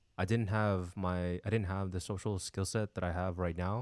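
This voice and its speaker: With a Californian accent, a man talks at a fairly low pitch and moderate pace with fairly even intonation, on a very clean recording with a silent background. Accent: Californian American English. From San Diego, California. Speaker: podcast co-host, photographer. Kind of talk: casual chat.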